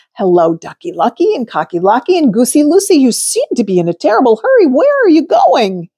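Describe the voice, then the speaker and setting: A put-on character voice, high-pitched with very wide pitch swings, runs at a fairly quick pace with hardly any pauses, and the sound is dry and close with no echo. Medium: read story.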